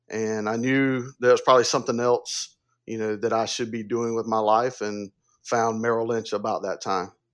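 At a moderate pace, a man talks at medium pitch. His intonation is monotone and flat, over a quiet background. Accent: Southern US. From upstate South Carolina. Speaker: wealth advisor. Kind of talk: interview.

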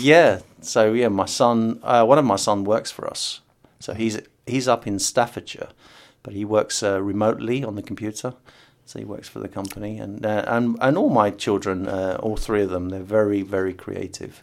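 The speaker, in an English accent, talks at a moderate pace with fairly even intonation. There are big swings in loudness. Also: man, fairly low pitch for a man. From England. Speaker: board game designer. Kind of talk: interview testimony. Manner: halting.

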